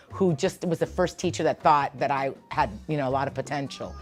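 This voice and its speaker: A woman's very deep, low voice with vocal fry, animated in tone, at a fairly quick pace. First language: Spanish. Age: 60s. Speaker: preschool teacher. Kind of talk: interview.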